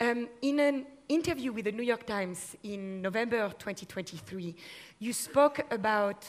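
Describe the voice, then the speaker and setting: Her intonation is lively and her pitch fairly high. This woman speaks with a French accent. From France. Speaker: panel moderator. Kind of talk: panel discussion.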